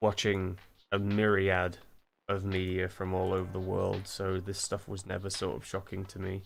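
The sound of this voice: A very deep, low male voice, monotone and flat, at a moderate pace with long, frequent pauses and music in the background. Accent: British.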